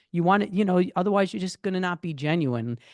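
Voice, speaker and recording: Loud speech in an American accent comes through with a dry, close sound, no echo, and a quiet background. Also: man. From New York. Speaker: photographer, former musician. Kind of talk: casual podcast interview.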